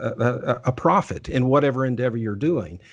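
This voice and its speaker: Against a quiet background, a man talks in a Texan accent. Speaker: lawyer and podcast host. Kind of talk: interview. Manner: halting, many repetitions and restarts.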